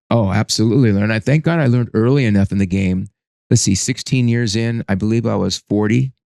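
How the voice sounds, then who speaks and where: At a very fast pace, a man talks in a dark, mellow voice of medium pitch with ordinary pitch variation against a quiet background. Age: 60s. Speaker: business consultant and coach. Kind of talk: interview testimony. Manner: halting, with repeated false starts.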